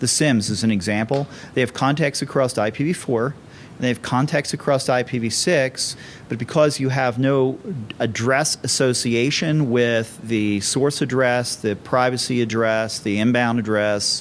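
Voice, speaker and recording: With an unremarkable speaking voice, a man talks at a moderate pace and medium pitch, his intonation fairly even. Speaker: conference speaker, security company CEO. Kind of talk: conference talk.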